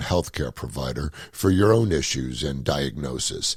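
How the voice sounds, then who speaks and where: A man with vocal fry and lively intonation talks at a moderate pace. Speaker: podcast host; comedian. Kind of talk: podcast disclaimer read.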